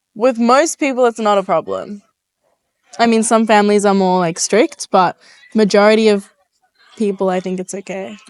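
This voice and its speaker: With an Australian accent, a woman speaks with long, frequent pauses in a dry, close sound with no echo. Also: medium pitch for a woman, ordinary pitch variation, moderate pace. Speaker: interviewee. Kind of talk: casual interview. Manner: hesitant, many fillers.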